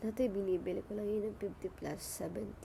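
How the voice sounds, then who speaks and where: A woman speaks at a fairly slow pace, with noticeable background noise behind her. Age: 20s. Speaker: vlogger. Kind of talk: casual vlog chat. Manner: halting, many fillers.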